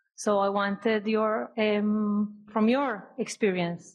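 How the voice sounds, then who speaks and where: A woman speaks with a non-native accent. Her pitch is medium. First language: not English. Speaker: audience member, new investor. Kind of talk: audience question. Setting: speaking at audience microphone.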